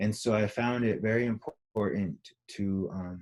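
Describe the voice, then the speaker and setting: A man speaks in a fairly low pitch with a dark, mellow tone and fairly even intonation. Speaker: artist and Lakota storyteller. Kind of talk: conversation about artwork.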